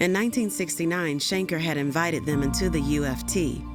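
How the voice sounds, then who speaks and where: A woman's very deep, low voice at a moderate pace, with music in the background. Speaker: voice actor. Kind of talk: documentary narration.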